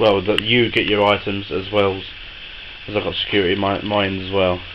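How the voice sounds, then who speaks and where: A British accent comes through in a flat monotone at a fairly quick pace. There is audible room echo and noticeable background noise. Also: man, fairly low pitch for a man. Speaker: collector selling wrestling replica belts. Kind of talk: sales pitch. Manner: hesitant, many fillers.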